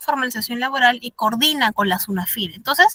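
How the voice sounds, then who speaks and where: A woman speaks at a fairly quick pace in a high, bright and sharp voice, recorded dry and close with no echo. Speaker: instructor in labor law course. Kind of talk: online lecture. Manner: fast; animated.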